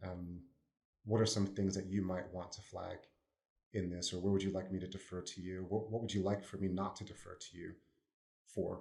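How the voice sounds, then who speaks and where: A man's very deep, low voice with an American accent, dark and mellow in tone, flat and monotone, at a fairly quick pace with big swings in loudness, long, frequent pauses and audible room echo. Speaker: consultant. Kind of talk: podcast panel discussion.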